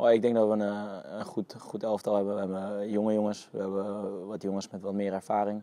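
At a moderate pace, a man speaks with a fairly low pitch, a dark, mellow tone and monotone, flat intonation, in a dry sound with no echo. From Netherlands, Utrecht; Netherlands. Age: 20s. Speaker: professional footballer. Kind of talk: interview. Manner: halting, many fillers and repetitions. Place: open country. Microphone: lapel.

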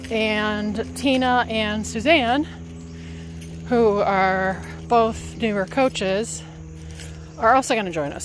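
A woman is speaking with music in the background. The sound is dry, with no echo. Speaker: health coach. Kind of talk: casual vlog chat. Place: forest. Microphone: earbuds.

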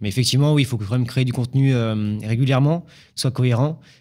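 Pitched at a medium level, a man talks at a very fast pace with fairly even intonation. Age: 20s. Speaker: drywall installer and painter. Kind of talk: interview. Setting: studio. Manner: hesitant, many fillers. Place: studio. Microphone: studio mic.

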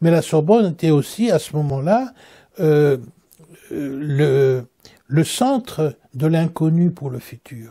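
With a dark, mellow tone and fairly high pitch, a man speaks very slowly, using lively intonation, big swings in loudness, and long, frequent pauses. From Central Africa (eastern Belgian Congo). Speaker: Orthodox metropolitan bishop. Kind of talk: interview reminiscence. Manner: halting, frequent hesitations.

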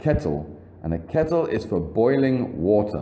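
With an English accent, a man speaks at a very slow pace, his pitch swinging very widely. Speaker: English teacher. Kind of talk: vocabulary lesson narration. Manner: slow, clear.

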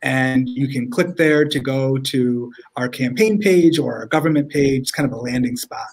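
Speaking with an upstate New York accent, a man uses ordinary pitch variation. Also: moderate pace. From Rochester, upstate New York. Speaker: state senator. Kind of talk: interview answer. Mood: warm, friendly. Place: home room.

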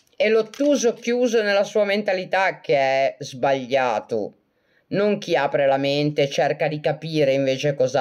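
A woman's voice holds a very even loudness while her pitch swings very widely. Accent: Genoese. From Italy, Genoa (Liguria). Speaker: self-described medium and live streamer. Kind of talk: casual live-stream chat answering viewer comments. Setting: live video stream on social media. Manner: animated, laughs often.

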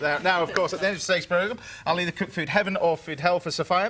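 A very fast-talking man with a high pitch, over light background noise. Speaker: TV show host. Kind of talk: interview questions and presenting. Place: studio. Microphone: lapel.

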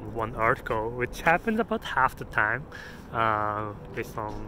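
A man talks at a moderate pace. The sound is dry with no echo, though background noise is noticeable. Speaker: app developer vlogger. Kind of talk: casual vlog chat. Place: street. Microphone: phone near.

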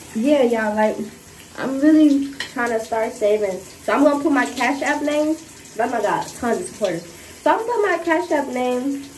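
A woman speaks with a high pitch. Light background noise sits behind her. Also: moderate pace. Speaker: vlogger. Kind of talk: casual vlog chat.

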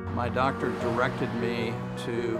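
Clear music plays in the background while a man speaks at a fairly slow pace. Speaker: prostate cancer survivor; spin class instructor. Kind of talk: patient testimonial interview answer. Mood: calm, grateful. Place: studio. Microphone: lapel.

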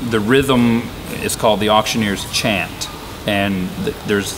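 Fairly slow, fairly low male speech with fairly even intonation amid noticeable background noise. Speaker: auctioneer. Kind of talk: interview answer. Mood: relaxed, explanatory. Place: hall.

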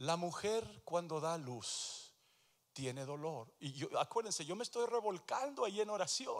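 Against a quiet background, a man talks at a fairly slow pace in a high pitch with very wide pitch swings. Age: 60s. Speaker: pastor. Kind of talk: sermon. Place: church. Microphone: handheld.

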